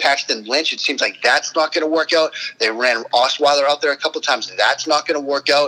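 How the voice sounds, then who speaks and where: Over noticeable background noise, a man speaks at a fairly quick pace. His pitch is fairly high and his intonation fairly even. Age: 40s. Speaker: football quarterback analyst. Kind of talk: casual chat.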